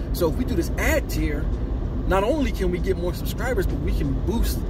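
A man talks at a fairly quick pace over music in the background, with a dry sound and no echo. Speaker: film vlogger. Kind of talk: casual vlog commentary. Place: car. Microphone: phone near.

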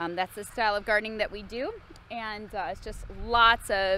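Light background noise behind a dry, echo-free female voice. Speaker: farmer vlogger. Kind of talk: casual vlog chat. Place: farm machine. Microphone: phone near.

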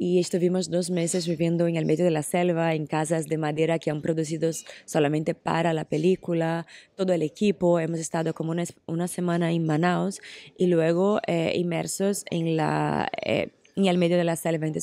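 A woman speaks in a fairly low pitch with a Portuguese accent and a dark, mellow tone. Her intonation is monotone and flat, her pace moderate, and the sound dry with no echo. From Brazil. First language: Portuguese (speaking Spanish). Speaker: actress. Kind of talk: interview. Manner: hesitant with many fillers. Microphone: handheld.

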